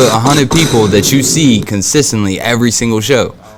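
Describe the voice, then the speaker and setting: Music plays behind a man who speaks with an American accent and ordinary pitch variation. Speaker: podcast host. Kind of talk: casual chat.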